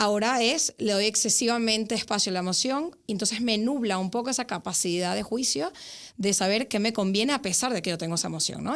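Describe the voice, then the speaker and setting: A woman talks at a very fast pace with lively intonation. The recording is very clean, with a silent background. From Venezuela. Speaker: psychologist. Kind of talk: podcast interview. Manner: hesitant fillers, frequent ¿vale?.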